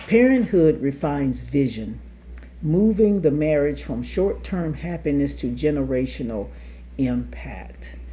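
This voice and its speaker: There is audible room echo around this woman's voice. She talks at a fairly slow pace. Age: 60s. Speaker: marriage podcast co-host. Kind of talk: casual chat.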